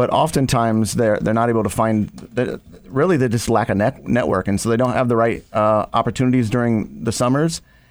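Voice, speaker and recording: A man's plain, everyday voice, medium in pitch with ordinary pitch variation, at a fairly quick pace with hardly any pauses and very even loudness, on a very clean recording with a silent background. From Ohio. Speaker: nonprofit executive director. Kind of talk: radio interview. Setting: studio.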